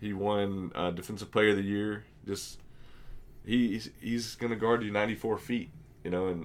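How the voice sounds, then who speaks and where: A hoarse man at a moderate pace, with monotone, flat intonation. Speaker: podcast host. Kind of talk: casual banter, sports podcast.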